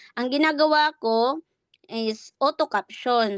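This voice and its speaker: A woman with ordinary pitch variation, in a dry, close sound with no echo. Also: quiet background. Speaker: online business coach. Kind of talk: tutorial. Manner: raised voice.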